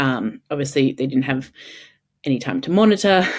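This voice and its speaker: A woman's very deep, low voice in an Australian accent with ordinary pitch variation, in a very clean recording with a silent background. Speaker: mother of three. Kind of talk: podcast interview answer. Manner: hesitant, many fillers.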